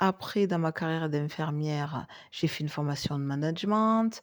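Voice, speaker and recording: The woman's voice sits very deep and low. Her intonation is lively. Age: 40s. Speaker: life coach and former nurse. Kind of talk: podcast monologue.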